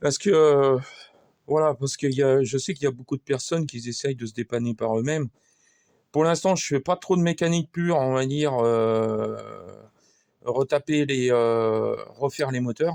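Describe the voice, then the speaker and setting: Long, frequent pauses break up a man's speech at a moderate pace and medium pitch, with ordinary pitch variation and a dry, close sound with no echo. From France, Sarthe. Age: 50s. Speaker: amateur mechanic YouTuber. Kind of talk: workshop tutorial monologue. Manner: halting, many fillers and repetitions; casual.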